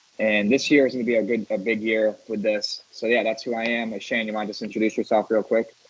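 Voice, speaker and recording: With an American accent, a man talks at a very fast pace with hardly any pauses. His medium-pitched voice stays flat and monotone. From US Northeast, Syracuse, New York. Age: 20s. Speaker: sports podcast host. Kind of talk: casual podcast chat; stats rundown. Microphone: connection issues, static.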